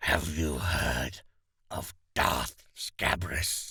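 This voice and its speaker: This is a put-on character voice. It comes out growling. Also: man, very deep, low pitch for a man. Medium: read story. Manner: terse, cold.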